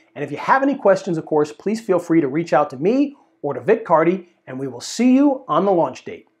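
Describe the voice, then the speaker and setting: Talking fairly quickly with hardly any pauses, a man shows very wide pitch swings and big swings in loudness. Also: quiet background. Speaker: presenter. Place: studio. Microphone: lapel.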